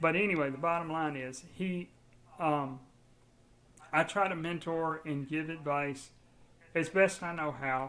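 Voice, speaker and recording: A man talks at a fairly slow pace with long, frequent pauses. His pitch is fairly high for a man, and his intonation stays fairly even. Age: 60s. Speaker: building automation industry expert. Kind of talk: podcast interview. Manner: halting, with frequent restarts.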